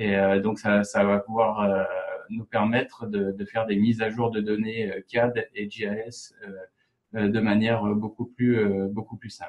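Very slowly and in a monotone, flat intonation, a man speaks. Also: fairly low pitch for a man. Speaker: geomatics analyst. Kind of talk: software tutorial. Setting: online webinar.

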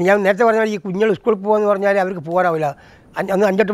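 A man's high-pitched voice with fairly even intonation, recorded dry with no echo. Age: 70s. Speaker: traditional potter. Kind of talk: interview testimony. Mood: rueful, explaining hardships. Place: home room. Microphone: lapel.

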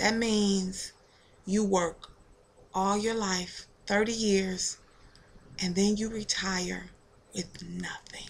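Very slow and broken by long, frequent pauses, a woman's speech stays monotone and flat. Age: 40s. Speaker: YouTuber. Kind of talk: vlog video response. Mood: empathetic, earnest. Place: home room. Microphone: webcam.

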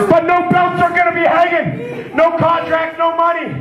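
A man speaks at a fairly slow pace. The room echo is audible, with light background noise. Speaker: pro wrestler. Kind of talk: pro wrestling promo. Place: hall. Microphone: handheld.

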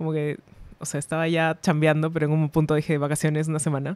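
A woman's very deep, low voice at a very fast pace, dry and free of echo. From Peru. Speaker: illustrator; podcast guest. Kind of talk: casual chat. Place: studio. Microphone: studio mic.

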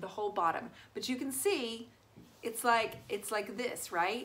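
At a fairly slow pace, a woman talks with lively intonation. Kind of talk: tutorial. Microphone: phone near.

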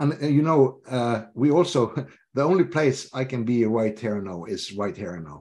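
Speaking at a moderate pace in a Norwegian accent, a man with a dark, mellow tone shows very wide pitch swings and big swings in loudness. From Norway. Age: 50s. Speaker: leadership coach; interview guest. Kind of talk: interview. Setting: video call. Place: home room. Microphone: video call.

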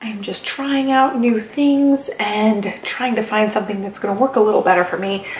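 A woman at a moderate pace with ordinary pitch variation, light background noise and audible room echo. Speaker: planner vlogger. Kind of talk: casual vlog chat.

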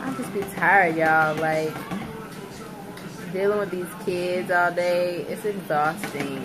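A woman speaks with ordinary pitch variation while noticeable background noise plays behind her. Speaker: family vlogger. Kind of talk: casual vlog chat. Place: kitchen. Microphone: phone near.

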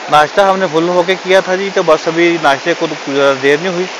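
A man talks fast with ordinary pitch variation and a fairly high pitch. Clear background noise runs underneath.

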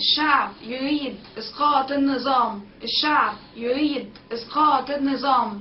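Very slowly, a woman speaks in a high voice with fairly even intonation. Light background noise is present. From Egypt. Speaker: protest organizer. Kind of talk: vlog appeal to camera. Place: home room. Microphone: webcam.

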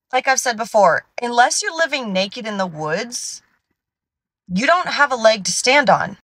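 Against a quiet background, a woman speaks at a moderate pace with a high pitch, the sound dry and without echo. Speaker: science content creator. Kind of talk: casual vlog chat. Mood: exasperated, passionate. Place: car. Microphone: phone near.

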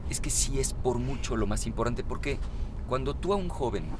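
Talking at a fairly quick pace, a man is heard in a dry sound with no echo over noticeable background noise. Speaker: interviewee. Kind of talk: interview answer. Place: car.

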